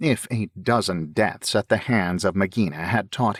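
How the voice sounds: In a natural reading voice, the pitch shifts in an ordinary way.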